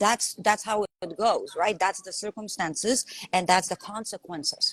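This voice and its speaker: A woman with a Lithuanian accent speaks at a fairly slow pace and medium pitch, somewhat breathy, with ordinary pitch variation and a dry, close sound with no echo. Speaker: life coach. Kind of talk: live stream conversation. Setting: live video call. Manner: animated.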